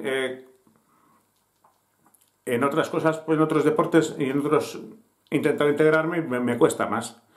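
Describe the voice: A man's fairly high-pitched voice at a fairly slow pace.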